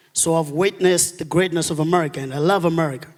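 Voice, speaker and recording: A man with a Malawian accent at a high pitch, fairly even intonation, and a fairly quick pace. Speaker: audience member asking a question. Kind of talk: audience question at a lecture. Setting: auditorium with audience.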